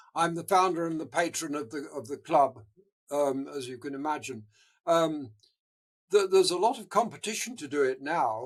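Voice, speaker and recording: The speaker has an English accent, keeps a moderate pace, and shows big swings in loudness. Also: man. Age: 80s+. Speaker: marathon runner and charity founder. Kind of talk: interview. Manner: halting.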